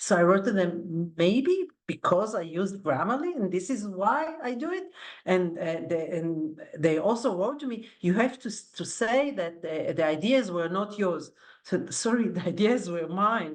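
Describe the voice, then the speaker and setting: A woman's lively intonation plays out at a fairly slow pace. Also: medium pitch for a woman. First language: not English. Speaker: academic, panelist. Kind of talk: panel discussion. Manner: animated, conversational.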